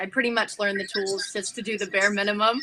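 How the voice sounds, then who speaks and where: A woman at a medium pitch and a very fast pace, with music in the background. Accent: American. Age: young. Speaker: pageant titleholder. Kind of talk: interview.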